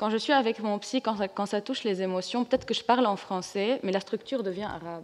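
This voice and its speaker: Speaking in an ordinary speaking voice, a woman uses a fairly high pitch. Her pace is fairly quick, with ordinary pitch variation. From Lebanon. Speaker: comics artist. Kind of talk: panel discussion.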